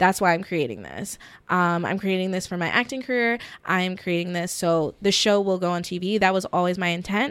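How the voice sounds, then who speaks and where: A woman with an American accent, an unremarkable speaking voice at medium pitch, fairly quick pace and ordinary pitch variation, very clean recording with a silent background. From US South, middle Georgia (Warner Robins). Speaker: actress and TV show creator. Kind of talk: casual interview chat.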